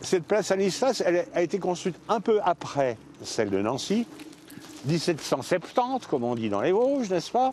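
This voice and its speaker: A man's high voice with very wide pitch swings at a moderate pace, over noticeable background noise. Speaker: retired linguist. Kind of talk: casual conversation on location. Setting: outdoors.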